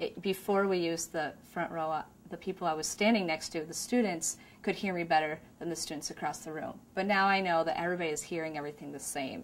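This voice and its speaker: Talking very fast, a woman keeps a fairly even intonation at a fairly low pitch. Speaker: classroom teacher. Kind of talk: interview testimony.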